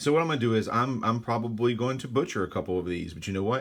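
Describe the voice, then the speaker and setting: A man speaks with a Louisiana accent. The recording is very clean, with a silent background. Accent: Louisiana Southern US. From Central Louisiana. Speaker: cigar reviewer. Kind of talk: casual unboxing monologue. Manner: casual, with many fillers and self-corrections.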